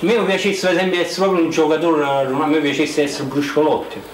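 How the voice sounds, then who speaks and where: A man with a fairly high pitch and ordinary pitch variation talks at a very fast pace, with audible room echo and light background noise. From Naples. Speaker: actor and film director. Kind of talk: interview answer. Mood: playful, joking. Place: home room.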